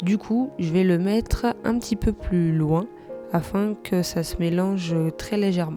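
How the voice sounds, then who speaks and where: Background music plays. Over it, a woman talks very slowly. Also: ordinary pitch variation. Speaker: watercolor artist. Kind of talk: tutorial voice-over.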